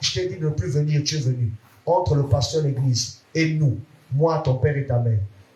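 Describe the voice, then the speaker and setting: This man's voice has a dark, mellow tone and a fairly high pitch, somewhat breathy, with ordinary pitch variation at a moderate pace. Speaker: pastor. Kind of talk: sermon. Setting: church.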